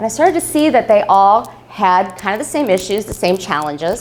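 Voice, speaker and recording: A woman talks at a very fast pace in an animated tone with lively intonation amid noticeable background noise. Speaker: business consultant giving a talk. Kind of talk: live presentation to an audience. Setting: room with live audience.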